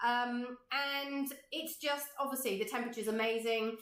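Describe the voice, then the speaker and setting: The intonation stays fairly even, and audible room echo can be heard. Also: woman. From Cornwall, England. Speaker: art teacher. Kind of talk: online workshop chat. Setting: livestream video from home studio.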